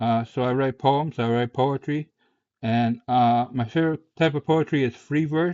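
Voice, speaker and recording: The man has an American accent. His intonation is fairly even. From US Midwest, Chicago. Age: 30s. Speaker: vlogger with schizophrenia, poet. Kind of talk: personal monologue to camera. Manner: halting, many fillers and repetitions.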